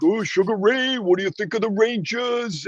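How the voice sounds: Putting on a character voice with a strong New York accent, a man speaks at a high pitch and a moderate pace.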